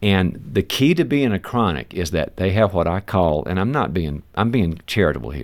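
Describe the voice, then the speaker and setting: With an American accent and vocal fry, a man speaks at a moderate pace in a very deep, low pitch with very wide pitch swings and hardly any pauses, on a very clean recording with a silent background. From US South. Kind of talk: interview.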